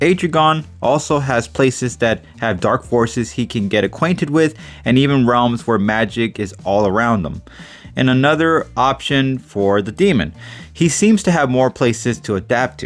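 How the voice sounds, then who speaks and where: A man speaks at medium pitch and a moderate pace. His pitch swings very widely. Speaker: YouTube commentator on comic character battles. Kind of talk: scripted analysis commentary. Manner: stumbling over words, self-correcting; halting, with fillers.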